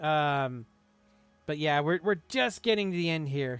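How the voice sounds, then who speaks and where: Speech at a moderate pace with ordinary pitch variation, music in the background. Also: man. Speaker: gaming streamer. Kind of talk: live stream chat. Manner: casual, halting with fillers.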